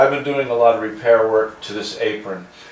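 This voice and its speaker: At a moderate pace, a man keeps talking through noticeable background noise. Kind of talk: tutorial. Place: workshop.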